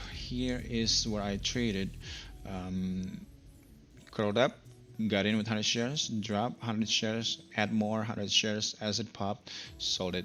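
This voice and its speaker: A man of medium pitch speaks at a fairly slow pace. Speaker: day trader video blogger. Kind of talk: screen-share trading recap. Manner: many filler words, halting.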